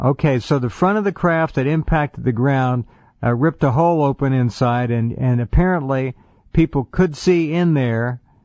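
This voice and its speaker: A man speaks in a normal speaking voice at a moderate pace, his medium pitch showing ordinary variation. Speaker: radio talk show host. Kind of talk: radio interview questions.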